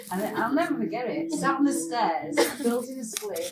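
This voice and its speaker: A woman with a Mancunian accent, high-pitched with very wide pitch swings, at a fairly slow pace, with audible room echo and music in the background. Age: 60s. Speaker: former club-goer sharing memories. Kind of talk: casual group reminiscence. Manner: animated.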